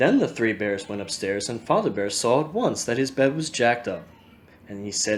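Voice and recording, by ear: A natural voice reading aloud with lively intonation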